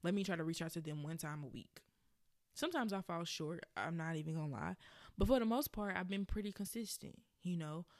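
On a very clean recording with a silent background, a woman with an American accent talks very fast at a fairly low pitch with ordinary pitch variation. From Birmingham, Alabama. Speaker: podcast host and blogger. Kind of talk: casual solo podcast, conversational. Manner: casual, hesitant with fillers.

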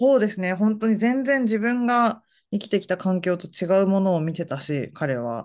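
A woman at a medium pitch with very wide pitch swings, a moderate pace and a quiet background. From Fukuoka, Japan. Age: 40s. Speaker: essayist. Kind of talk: casual interview.

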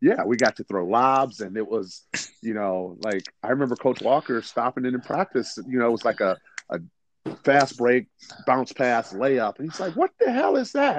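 A man speaks at a moderate pace with an American accent, in a plain, everyday voice of medium pitch with ordinary pitch variation. The sound is dry and close, with no echo. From Detroit, Michigan. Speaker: basketball coach and former player. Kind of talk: interview.

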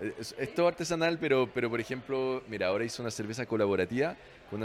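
Very fast delivery with ordinary pitch variation. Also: man. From France. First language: French (speaking Spanish). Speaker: restaurant manager. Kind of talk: casual interview. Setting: bar. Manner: halting, repeats words.

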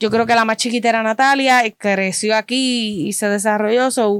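Fairly high in pitch, a woman with an unremarkable speaking voice talks at a moderate pace. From Puerto Rico. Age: 30s. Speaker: fan club member. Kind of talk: casual chat.

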